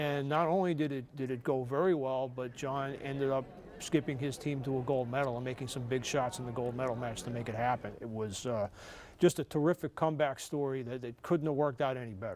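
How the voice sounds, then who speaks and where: Fairly quick speech in a New York accent, with ordinary pitch variation. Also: man, medium pitch for a man. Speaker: sportswriter and author. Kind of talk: TV interview.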